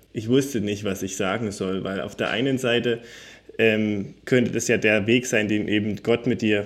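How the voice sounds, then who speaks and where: With a plain, everyday voice, a man speaks at a moderate pace in a medium pitch and with fairly even intonation. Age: 20s. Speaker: secondary school teacher. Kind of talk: interview, personal testimony.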